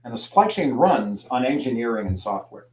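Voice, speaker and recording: Here a man talks in a normal speaking voice with an American accent. His pitch is medium, and his pace is moderate. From US Midwest (Youngstown, Ohio). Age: 60s. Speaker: trade magazine editor, speaker. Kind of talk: lecture. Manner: conversational.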